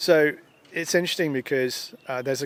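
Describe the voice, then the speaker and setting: A man with a fairly high pitch speaks with an English accent. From England, London. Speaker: user group organizer and conference speaker. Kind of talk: interview. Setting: at a conference.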